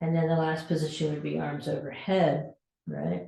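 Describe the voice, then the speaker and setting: A woman is speaking. Room echo can be heard. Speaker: fitness instructor. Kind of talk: exercise class instruction.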